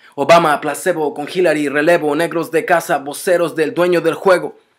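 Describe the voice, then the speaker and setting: A man talks at a fairly quick pace in an angry, intense tone. His pitch is high for a man, his intonation fairly even, and the background is quiet. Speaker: spoken word poet. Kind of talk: spoken word poem, defiant political protest verse. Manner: intense, rhythmic, forceful; angry, accusatory, urgent. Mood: angry, defiant. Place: home room. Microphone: webcam.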